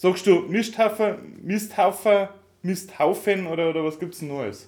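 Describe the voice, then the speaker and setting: A loud man's voice with lively intonation. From Upper Bavaria, near Swabian border. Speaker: podcast co-host. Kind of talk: casual chat. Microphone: laptop recording, levels too quiet.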